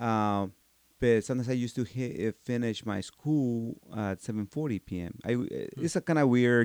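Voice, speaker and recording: Someone with a Mexican accent talks at a fairly slow pace with ordinary pitch variation, the sound dry and close with no echo. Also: man, medium pitch for a man. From Mexico, Michoacan. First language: Spanish. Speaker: martial arts instructor. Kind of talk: interview. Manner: halting.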